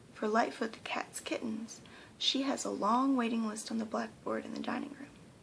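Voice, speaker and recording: Whispering and soft-spoken, a woman talks at a moderate pace with big swings in loudness over noticeable background noise. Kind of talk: bedtime story narration. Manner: soft-spoken, whispering.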